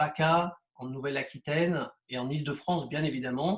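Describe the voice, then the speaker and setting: A man's voice, fairly high in pitch and somewhat breathy, moves with ordinary pitch variation. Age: 60s. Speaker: real estate agent. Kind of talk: interview. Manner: halting, many hesitations.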